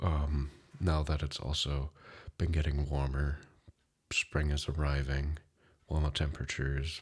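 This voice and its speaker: Soft-spoken and somewhat breathy, a man talks at a fairly slow pace in a very deep, low pitch with monotone, flat intonation. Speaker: ASMR creator; insurance client manager. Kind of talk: ASMR life update talk.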